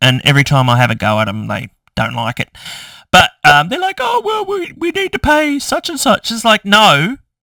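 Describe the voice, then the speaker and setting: With an Australian accent, a man speaks at a moderate pace in a dry, close sound with no echo, on a very clean recording with a silent background. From Tasmania, Australia. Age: 50s. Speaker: YouTuber. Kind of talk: casual vlog chat. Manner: ranting, animated.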